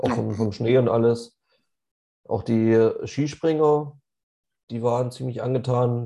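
Delivered at a very slow pace with long, frequent pauses, the voice has a dark, mellow tone. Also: man, medium pitch for a man. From Leipzig, Saxony, Germany. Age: 30s. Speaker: podcast co-host and amateur American football player. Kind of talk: casual chat. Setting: studio, face to face.

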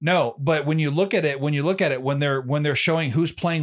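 Recorded very cleanly against a silent background, a man with an American accent has an unremarkable speaking voice, fairly high in pitch, with ordinary pitch variation. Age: 30s. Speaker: podcast host. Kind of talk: casual chat.

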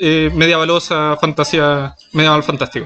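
A man speaks with a Chilean accent over noticeable background noise. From Chile, Chiloé. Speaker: podcast co-host. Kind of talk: casual chat. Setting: in a shop.

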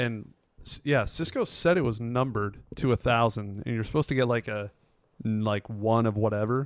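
A man with an American accent and a plain, everyday voice speaks at a moderate pace and medium pitch with ordinary pitch variation, on a very clean, dry, close recording with a silent background and no echo. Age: 20s. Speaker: podcast host. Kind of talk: casual chat.

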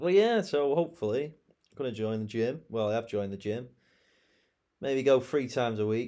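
A man with a British accent, medium pitch and a dark, mellow tone, at a moderate pace with ordinary pitch variation and long, frequent pauses, in a very clean recording with a silent background. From England. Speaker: podcaster and online English teacher. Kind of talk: casual solo monologue. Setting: alone in bedroom recording on laptop.

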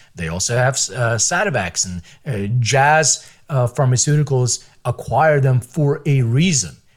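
A somewhat breathy man at a medium pitch, fairly slow in pace, with lively intonation. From Philadelphia, US (immigrated from Lithuania at six). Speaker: biotech company CEO. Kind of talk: interview.

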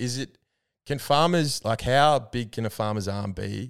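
Here a man speaks in an Australian accent at a moderate pace with ordinary pitch variation. The recording is very clean, with a silent background. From Albury, regional Australia. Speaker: podcast co-host. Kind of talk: casual chat.

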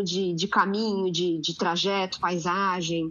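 A woman speaks at a very slow pace. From Santos, São Paulo state, Brazil. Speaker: geographer and waste sector technical coordinator. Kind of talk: panel discussion. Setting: podcast recording.

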